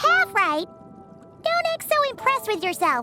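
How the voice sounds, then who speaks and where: A squeaky, cartoonish character voice at an extremely high pitch and a moderate pace, with clear music in the background. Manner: excitable, chatty.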